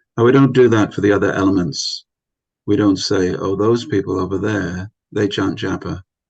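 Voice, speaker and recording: This man's voice sits fairly low and is somewhat breathy, moving at a moderate pace with fairly even intonation. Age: 60s. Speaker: spiritual teacher. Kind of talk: lecture. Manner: hesitant fillers.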